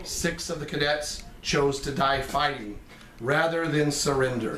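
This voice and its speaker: Fairly high pitch and fairly even intonation from a man, with audible room echo and noticeable background noise. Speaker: history teacher. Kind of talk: lecture. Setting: recorded over slide presentation.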